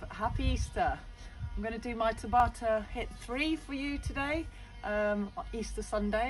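Clear music is heard in the background as a woman talks. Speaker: fitness instructor. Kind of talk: casual exercise tutorial. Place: garden. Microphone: phone near.

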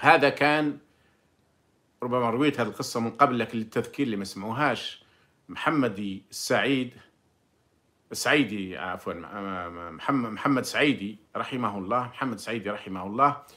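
With an Algerian accent, a man of medium pitch speaks at a moderate pace in a bright, sharp tone, with ordinary pitch variation and long, frequent pauses. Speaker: former diplomat and commentator; commentator. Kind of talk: monologue commentary with personal recollection. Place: home room. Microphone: phone near.

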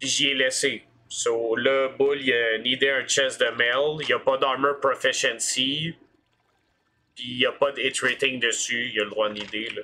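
A bright, sharp tone at a very slow pace, monotone and flat. Light background noise is present. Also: man. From Quebec. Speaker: gamer streamer. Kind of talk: casual chat. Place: home room. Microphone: headset.

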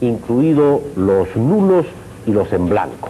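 A man delivers his words at a very slow pace against noticeable background noise. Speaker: news anchor. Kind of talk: 1985 TV news broadcast, formal scripted reading of election statistics and history. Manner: formal, measured, authoritative.

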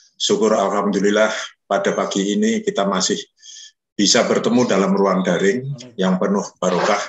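Audible room echo around a man speaking at a moderate speed. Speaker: association chairman. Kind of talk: formal welcome speech. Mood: warm, respectful, festive. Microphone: video call.

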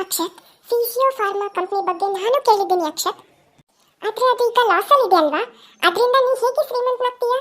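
A woman puts on a character voice at an extremely high pitch, talking at a moderate pace with ordinary pitch variation. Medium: read story. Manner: cool, controlled.

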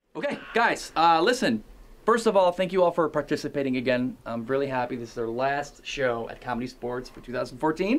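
Lively intonation from a man at a fairly quick pace. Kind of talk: scripted comedic pep talk. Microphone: camera far.

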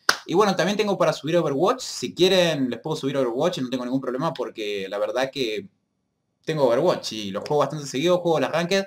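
This man has a fairly high pitch for a man. He talks at a very fast pace with lively intonation. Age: 20s. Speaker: gaming youtuber. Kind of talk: casual vlog to viewers. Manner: hesitant, many fillers. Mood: apologetic, upbeat. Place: home room. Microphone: webcam.

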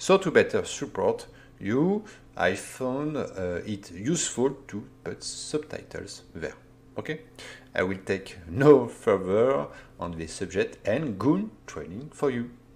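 The voice has vocal fry and a non-native accent. It moves at a very slow pace with very wide pitch swings. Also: man, medium pitch for a man, big swings in loudness. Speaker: online course instructor. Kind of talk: tutorial. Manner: halting, with fillers.

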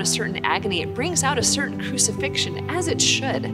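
Clear music plays in the background as the speaker goes at a moderate pace. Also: woman. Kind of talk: spiritual teaching talk. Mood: warm, earnest. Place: church.

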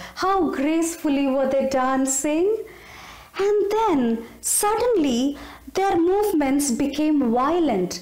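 A woman's high voice at a very slow pace, very wide pitch swings, quiet background and audible room echo. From India. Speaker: storyteller. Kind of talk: storytelling narration. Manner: animated. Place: home room. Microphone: phone near.

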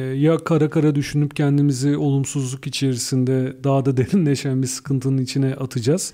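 A man talks at a fairly high pitch in a dark, mellow tone, his intonation monotone and flat. He moves at a fairly quick pace with hardly any pauses. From Turkey, İzmir. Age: 40s. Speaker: entrepreneur and trainer. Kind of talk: radio interview.

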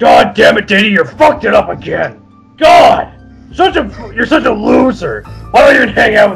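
Over faint background music, a man uses a put-on character voice at a moderate pace. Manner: loud, whiny.

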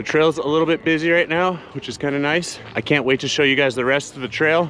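With faint music in the background, a man speaks at a fairly quick pace and with ordinary pitch variation, the sound dry with no echo. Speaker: hiking vlogger. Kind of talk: casual vlog chat. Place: open country. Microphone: phone near.

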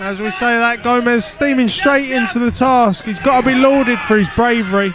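Crowd noise sits behind a man whose extremely high pitch shows ordinary variation, and the sound is dry with no echo. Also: moderate pace. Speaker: boxing commentator. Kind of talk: live boxing commentary. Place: hall.

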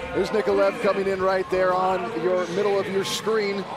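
An energetic tone comes through with music playing in the background. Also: man. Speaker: play-by-play commentator and interviewer. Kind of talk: live sports commentary. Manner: brisk, clear, energetic play-by-play.

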